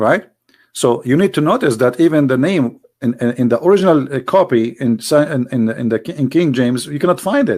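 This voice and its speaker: A man with an Arabic accent speaks fairly quickly at a fairly high pitch with lively intonation, on a very clean recording with a silent background. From Middle East. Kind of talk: religious teaching talk. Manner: halting, many repetitions.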